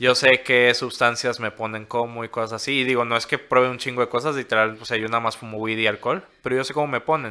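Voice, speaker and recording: Delivered at a very fast pace, a man's medium-pitched voice sounds bright and sharp but stays monotone and flat. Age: 20s. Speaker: cannabis edibles maker. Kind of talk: casual chat.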